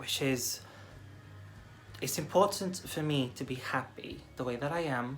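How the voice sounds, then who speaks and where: A woman's very deep, low voice with lively intonation, a fairly slow pace, long, frequent pauses and audible room echo. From Portugal. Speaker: video blogger. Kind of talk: personal video blog.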